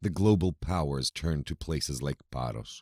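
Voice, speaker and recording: A man with an American accent talks at a moderate pace, his very deep, low pitch moving with ordinary variation. The recording is very clean and dry, close with no echo and a silent background. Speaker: voice-over artist. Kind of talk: scripted narration. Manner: measured.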